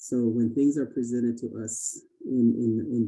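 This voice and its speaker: Music plays in the background. A man with a Navajo Nation accent talks at a medium pitch. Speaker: Native education participant. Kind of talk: listening session comment. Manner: halting, many fillers and repeats.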